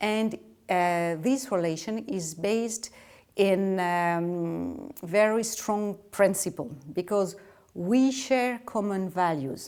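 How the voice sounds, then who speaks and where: In a French accent, a woman speaks very slowly at medium pitch with lively intonation, on a very clean recording with a silent background. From France. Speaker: ambassador. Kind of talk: interview. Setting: official residence. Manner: halting.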